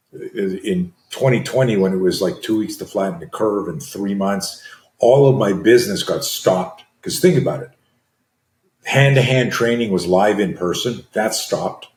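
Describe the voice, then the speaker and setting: A man of medium pitch talks at a fairly slow pace, somewhat breathy. His intonation is lively. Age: 60s. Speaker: self-defence and fear management coach. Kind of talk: interview conversation. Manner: animated.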